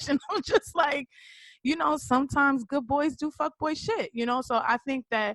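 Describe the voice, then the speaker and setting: Close, dry sound with no echo, and a woman talking at a moderate pace. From New York, the Bronx. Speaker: interview guest. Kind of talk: casual interview. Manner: loud.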